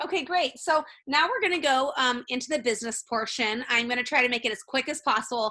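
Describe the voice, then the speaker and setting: A woman with a high pitch and a bright, sharp tone speaks in a raised, projected voice at a very fast pace, with ordinary pitch variation and hardly any pauses. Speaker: essential oils business presenter and bakery owner. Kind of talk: webinar presentation.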